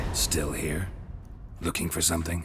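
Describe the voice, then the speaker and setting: Over clear background noise, a man uses a put-on character voice that is raspy and very deep, low in pitch, moving at a moderate pace. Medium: machinima. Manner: deadpan, laconic.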